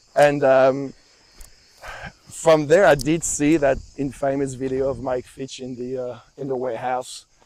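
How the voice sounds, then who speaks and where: Talking in a French accent, a man speaks at a fairly slow pace with monotone, flat intonation and big swings in loudness. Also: medium pitch for a man. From France. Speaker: movement instructor and personal trainer. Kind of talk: casual conversation. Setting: outdoors on a hike. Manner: halting, with fillers and repetitions.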